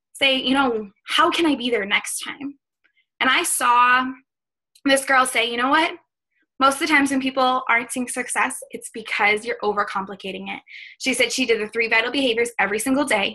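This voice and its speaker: Speaking with an American accent, a woman uses a raised, projected voice at a high pitch and a fairly quick pace. Her tone is bright and sharp, with ordinary pitch variation. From US Northeast, Boston. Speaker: fitness coach. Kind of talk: motivational talk on a team call. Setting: video call with screen share. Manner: fast; animated.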